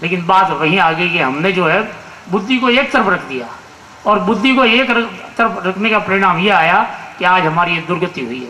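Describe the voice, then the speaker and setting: Raising and projecting his high-pitched voice with lively intonation, a man speaks amid noticeable background noise and audible room echo. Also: moderate pace. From Rajasthan (Marwar), India. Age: 60s. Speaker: conference speaker. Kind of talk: public speech. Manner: halting, frequent restarts.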